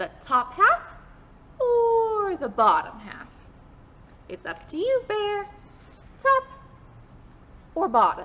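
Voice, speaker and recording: This put-on character voice is raised and projected. It moves at a very slow pace. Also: woman, extremely high pitch for a woman. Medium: read story. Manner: sly, persuasive.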